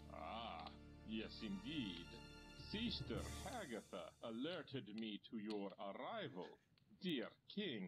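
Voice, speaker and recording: Clear music plays behind a man using a put-on character voice at medium pitch, speaking at a fairly slow pace with long, frequent pauses. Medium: video game. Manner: formal, measured.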